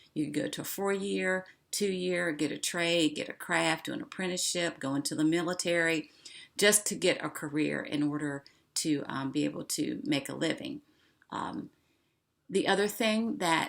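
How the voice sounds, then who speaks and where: A woman with an American accent speaks at a moderate pace with lively intonation. Her pitch is fairly low, with vocal fry. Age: 60s. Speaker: online show host. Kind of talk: casual monologue.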